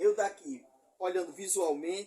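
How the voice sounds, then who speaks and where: A man speaks at a fairly slow pace. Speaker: appliance repair technician. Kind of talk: tutorial. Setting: workshop bench. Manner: trying to speak slowly.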